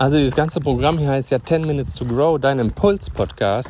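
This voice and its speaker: A man's fairly high, animated voice with lively intonation at a moderate pace, over noticeable background noise. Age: 30s. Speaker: personal development podcaster. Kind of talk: motivational monologue. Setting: outdoors.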